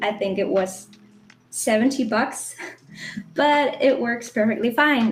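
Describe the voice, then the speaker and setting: With music in the background, a woman with a German accent speaks at a fairly slow pace in a fairly high pitch with ordinary pitch variation. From Germany. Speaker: webcomic artist. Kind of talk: live drawing tutorial. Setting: live online session.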